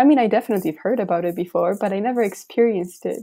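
A woman with a Polish accent, medium pitch and ordinary pitch variation, in a dark, mellow tone, on a very clean recording with a silent background. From Poland. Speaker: university student, synod delegate. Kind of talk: interview.

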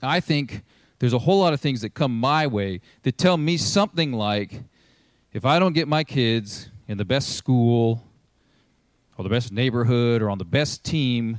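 On a very clean recording with a silent background, a man at medium pitch uses lively intonation at a moderate pace, with long, frequent pauses. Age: 40s. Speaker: pastor. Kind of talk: sermon. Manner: casual.

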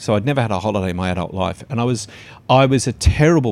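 On a very clean recording with a silent background, a man with an Australian accent talks at a very fast pace, fairly low in pitch, with ordinary pitch variation. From western Sydney, Australia. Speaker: advertising strategist and speaker. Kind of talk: casual interview. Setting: cafe. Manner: forceful, confronting.

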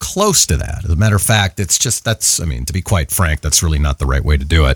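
A man is heard with a dry, close sound that has no echo. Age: 40s. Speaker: voice actor and coach. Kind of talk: casual chat.

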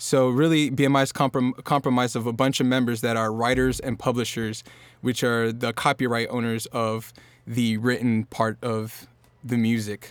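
On a very clean recording with a silent background, a man with an American accent speaks in a flat monotone. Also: medium pitch for a man, moderate pace. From Norfolk, Virginia, US. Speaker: singer-songwriter. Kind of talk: casual chat.

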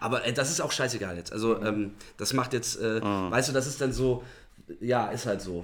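A man's moderately paced speech, showing ordinary pitch variation, carries audible room echo. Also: medium pitch for a man. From northern Germany, Bremen. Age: 30s. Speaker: musician. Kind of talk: casual chat.

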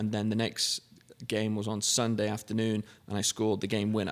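A man with an English accent talks at a fairly quick pace. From England. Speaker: car dealership general manager. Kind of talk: casual interview. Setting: studio.

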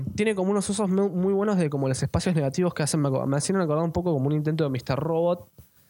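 Speaking very fast with hardly any pauses, this voice has a dark, mellow tone, ordinary pitch variation and a Rioplatense accent. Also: man, high pitch for a man. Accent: Argentine Rioplatense Spanish. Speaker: podcast co-host. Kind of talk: casual chat.

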